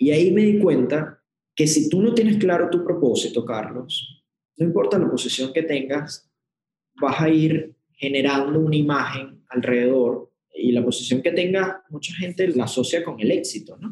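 In a Venezuelan accent, a man speaks at a moderate pace with a fairly high pitch and ordinary pitch variation. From Venezuela, Puerto Ordaz. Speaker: corporate executive. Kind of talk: interview.

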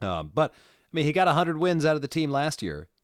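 Over a very clean recording with a silent background and a dry, close sound with no echo, a man speaks at a moderate pace in a very deep, low pitch with vocal fry. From New Jersey and New York. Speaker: circus performer and former radio journalist. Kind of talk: casual chat.

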